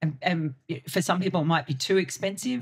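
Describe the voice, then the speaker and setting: In an Australian accent, a woman speaks with a very deep, low pitch and fairly even intonation on a very clean recording with a silent background. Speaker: cricket journalist. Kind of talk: podcast interview.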